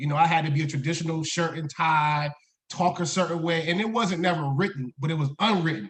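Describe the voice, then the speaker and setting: This man has an American accent and a fairly high pitch. His tone is animated, his pitch variation ordinary, and his pace fairly quick. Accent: Southern-tinged accent, getting thicker. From Maryland Eastern Shore (Pocomoke City). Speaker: high school principal. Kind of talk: casual interview chat.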